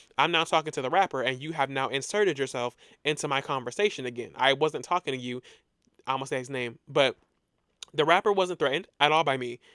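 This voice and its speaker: On a very clean recording with a silent background, a man talks very fast in a bright, sharp tone, fairly high in pitch with ordinary pitch variation. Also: dry, close sound with no echo. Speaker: podcast host. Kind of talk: casual storytelling monologue. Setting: alone in a room recording. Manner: loud, animated.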